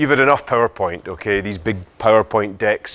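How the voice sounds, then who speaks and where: Fairly quick speech from a man with a Scottish accent, medium pitch and ordinary pitch variation. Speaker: business speaker, social entrepreneur. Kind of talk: talk to audience. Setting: lecture hall with audience. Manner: hesitant fillers.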